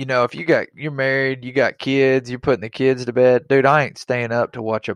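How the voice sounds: In a dry, close sound with no echo, a man at a medium pitch speaks at a fairly quick pace with little pitch movement.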